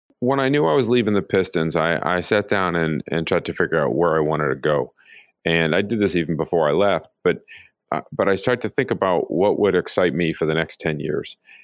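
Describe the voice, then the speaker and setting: A man speaks at a fairly quick pace in a very deep, low voice, his loudness very even and his intonation lively. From Pittsburgh, US. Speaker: live entertainment executive. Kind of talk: interview.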